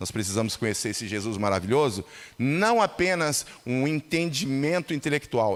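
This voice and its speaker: A man's unremarkable speaking voice at a medium pitch, with lively intonation and a moderate pace. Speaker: lay preacher. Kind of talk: sermon. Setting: church.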